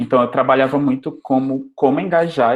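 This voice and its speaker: A man with an Amazonas accent, medium in pitch, at a moderate pace. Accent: Amazonas accent, noticeable. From Amazonas, northern Brazil. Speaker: university lecturer in software engineering. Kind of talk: lecture.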